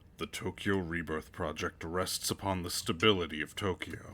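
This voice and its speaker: A man puts on a character voice, very deep and low, against clear background noise. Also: moderate pace. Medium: read story. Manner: matter-of-fact.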